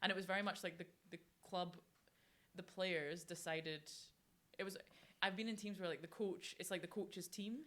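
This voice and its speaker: A woman with a Scottish accent speaks at a moderate pace and medium pitch, her intonation fairly even, with long, frequent pauses. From Scotland, Fife. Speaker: professional rugby player. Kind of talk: podcast interview.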